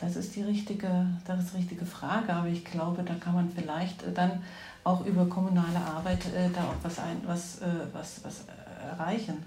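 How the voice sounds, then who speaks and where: A woman talks at a moderate pace in a fairly low pitch with monotone, flat intonation. Audible room echo and noticeable background noise surround her voice. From East Germany, Erzgebirge (Saxony). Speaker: politician's partner. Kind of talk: interview conversation. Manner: hesitant, many fillers.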